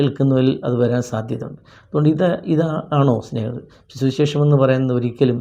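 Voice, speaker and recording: The man's intonation holds fairly even. His tone sounds dark and mellow. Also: medium pitch for a man. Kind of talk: devotional talk. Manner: halting.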